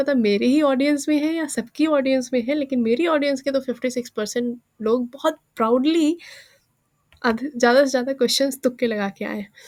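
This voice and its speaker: Her voice is high in pitch, and the woman talks at a moderate pace with ordinary pitch variation. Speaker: exam aspirant YouTuber. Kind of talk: casual vlog talk.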